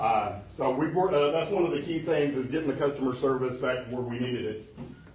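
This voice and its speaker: A man speaks at a fairly quick pace with ordinary pitch variation, his voice carrying audible room echo over noticeable background noise. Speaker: city manager. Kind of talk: town hall presentation. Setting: community center meeting with audience. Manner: loud; casual with many fillers.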